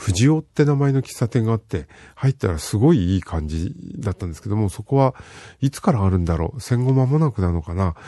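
In a dry, close recording with no echo and a quiet background, a man with a fairly low pitch and a dark, mellow, relaxed tone talks at a fairly quick pace, with very wide pitch swings and big shifts in loudness. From Fukushima, Japan. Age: old. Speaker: radio host. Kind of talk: casual radio talk. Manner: relaxed, with many fillers.

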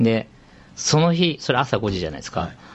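Very fast, somewhat breathy speech from a man with very wide pitch swings. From Shizuoka, Japan. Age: 40s. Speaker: fashion company CEO. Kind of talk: casual interview.

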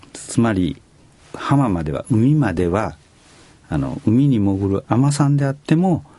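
Speaking at a fairly slow pace, a man makes very wide pitch swings. Noticeable background noise can be heard. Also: medium pitch for a man. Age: 70s. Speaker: company president. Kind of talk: radio interview. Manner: hesitant with fillers.

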